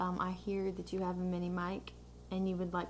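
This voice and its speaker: There is audible room echo as a woman speaks with an American accent. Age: 20s. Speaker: podcast co-host. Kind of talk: casual chat.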